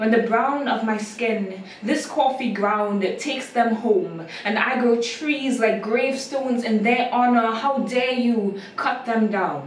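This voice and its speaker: A woman talks at a very slow pace, her pitch fairly high. Noticeable background noise is present. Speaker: spoken word poet. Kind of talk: spoken word poetry performance. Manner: expressive, rhythmic.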